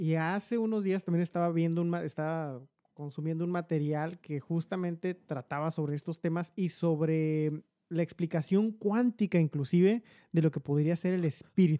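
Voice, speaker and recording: A speaker with a Mexican accent talks at a moderate pace. The recording is very clean, with a silent background. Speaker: podcast co-host, insurance agent. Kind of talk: casual chat.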